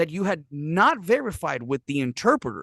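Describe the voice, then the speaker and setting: Recorded dry and close with no echo, a man talks at a moderate pace with very wide pitch swings. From Puerto Rico. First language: Spanish. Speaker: professional interpreter and translator, army veteran. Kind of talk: podcast interview answer. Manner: casual, profane.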